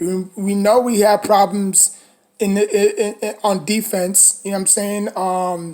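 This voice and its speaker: A dark, mellow tone at a fairly slow pace, with flat, monotone delivery. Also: woman, medium pitch for a woman. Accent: New York. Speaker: sports fan commentator. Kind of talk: casual monologue reaction video. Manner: hesitant, many fillers and restarts.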